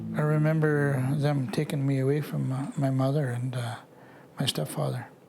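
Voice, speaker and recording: A man's fairly high voice, monotone and flat, with noticeable background noise and audible room echo. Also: moderate pace. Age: 60s. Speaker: residential school survivor. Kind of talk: testimony. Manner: halting.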